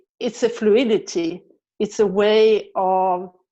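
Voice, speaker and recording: Speaking with a Swedish accent, a woman has a dark, mellow tone at fairly high pitch. She talks at a very slow pace over a quiet background. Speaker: body practice teacher and physiotherapist. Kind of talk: guided movement session. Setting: online video session. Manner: hesitant, many fillers.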